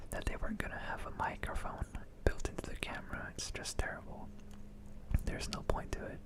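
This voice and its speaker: Someone whispers at a fairly quick pace over noticeable background noise. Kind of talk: ASMR product review. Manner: whispered.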